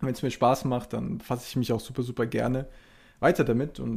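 A man talks at a very fast pace with vocal fry and a dark, mellow tone. His intonation stays fairly even. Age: 20s. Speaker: sports science student and podcast host. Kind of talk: solo podcast intro monologue. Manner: hesitant, many fillers.

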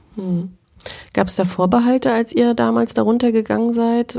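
Lively intonation in a dark, mellow tone. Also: woman. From Mecklenburg, Germany (Schwerin). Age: 40s. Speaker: journalist and podcast host. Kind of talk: interview conversation.

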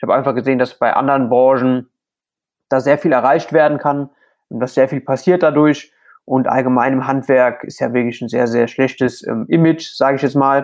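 Against a quiet background, a man with a normal speaking voice and medium pitch talks at a fairly quick pace with fairly even intonation. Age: 20s. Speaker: plasterer and social media creator. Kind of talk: interview.

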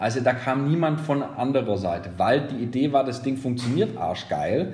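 A somewhat breathy voice with audible echo from the room. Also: man. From Germany, Nuremberg (Franconia). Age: 40s. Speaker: radio consultant, former radio presenter. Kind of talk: podcast interview.

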